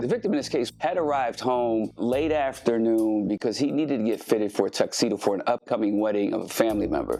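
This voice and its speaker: With music in the background, a man with a medium pitch talks at a very fast pace with hardly any pauses and ordinary pitch variation. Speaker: homicide detective. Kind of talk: true crime podcast narration.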